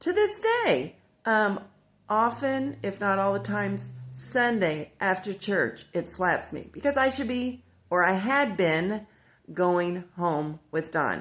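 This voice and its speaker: A woman's medium pitch with very wide pitch swings, in an American accent at a very slow pace. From Indiana, US Midwest. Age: 60s. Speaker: devotional video host. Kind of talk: casual devotional talk. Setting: at home by the fireplace. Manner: rambling, conversational.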